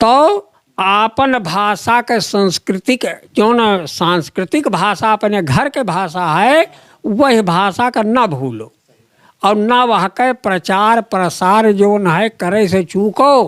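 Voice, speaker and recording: The man's voice sits high in pitch, recorded with a dry, close sound and no echo. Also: lively intonation. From Ayodhya region, Uttar Pradesh. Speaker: folk poet. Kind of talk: interview answer.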